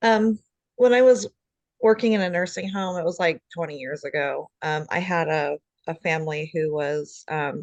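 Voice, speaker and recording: A woman speaks in a normal speaking voice at a fairly low pitch. The sound is dry and close, with no echo. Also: lively intonation, moderate pace. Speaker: nursing student. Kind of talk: class discussion.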